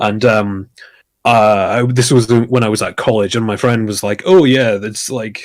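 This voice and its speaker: A man talks at a moderate pace, his pitch medium and his intonation fairly even. The recording is very clean, with a silent background. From Scotland. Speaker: streamer and podcast guest. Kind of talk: casual chat.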